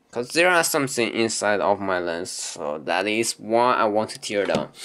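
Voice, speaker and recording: The voice moves at a moderate pace with very wide pitch swings over noticeable background noise. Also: man, fairly low pitch for a man. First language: not English. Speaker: camera hobbyist demonstrating lens teardown. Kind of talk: informal tutorial. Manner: halting, hesitant; apologetic.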